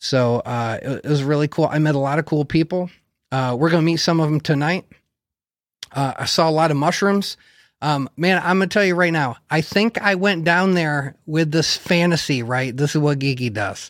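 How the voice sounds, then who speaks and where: A man with a fairly high voice speaks at a moderate pace with ordinary pitch variation and very even loudness, on a very clean recording with a silent background. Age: 40s. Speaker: mushroom cultivation podcast host. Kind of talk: casual chat.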